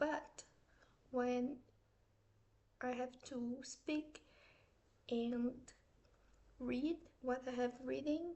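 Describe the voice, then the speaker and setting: A woman with a Portuguese accent speaks at a very slow pace with a high pitch. Her intonation is fairly even, with long, frequent pauses. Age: 30s. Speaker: artist and vlogger. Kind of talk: casual vlog aside; scripted vlog reading.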